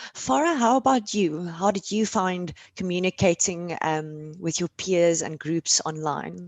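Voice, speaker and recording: A woman with a South African accent speaks at a fairly slow pace. Her pitch is fairly low, and she leaves hardly any pauses. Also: ordinary pitch variation. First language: Afrikaans. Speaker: panel moderator. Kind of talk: panel discussion.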